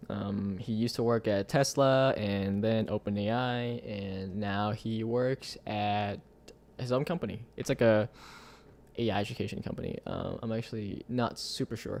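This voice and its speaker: Speaking at a moderate pace, a man with a Vietnamese accent talks at medium pitch with fairly even intonation. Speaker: tech live streamer. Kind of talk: live stream chat. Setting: live stream. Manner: casual, many fillers.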